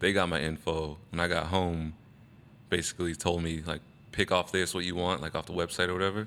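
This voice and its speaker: A man with an American accent speaks fairly quickly in a very deep, low voice. His tone is bright and sharp, and his intonation stays flat. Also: very clean recording, silent background. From Arizona, Phoenix. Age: 30s. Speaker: BMX rider. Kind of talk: casual chat.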